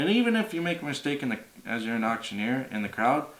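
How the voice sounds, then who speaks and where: In a plain, everyday voice, a man talks at a fairly quick pace with a medium pitch and lively intonation. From Alberta, Canada. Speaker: auctioneer. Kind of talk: casual talk to camera explaining auctioneering. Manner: casual, friendly.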